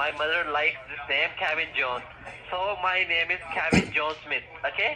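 A man speaks at a high pitch with ordinary pitch variation. There is noticeable background noise. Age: 20s. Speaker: telemarketer. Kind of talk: sales pitch. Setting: phone call.

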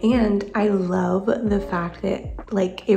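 Clear music plays in the background while a woman talks. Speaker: vlogger. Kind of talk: casual vlog chat. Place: home room. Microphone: phone near.

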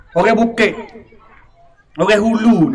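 A man's raised, projected voice, high in pitch for a man. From Thailand. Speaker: religious teacher and local historian; religious teacher. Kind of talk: history talk. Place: hall. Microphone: handheld.

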